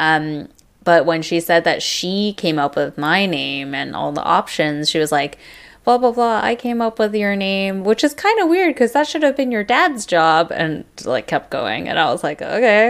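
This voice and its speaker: Very wide pitch swings mark this moderate-paced speech in an American accent. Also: woman, medium pitch for a woman. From US, Taiwanese American family. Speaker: podcast co-host. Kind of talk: casual chat; podcast promo read.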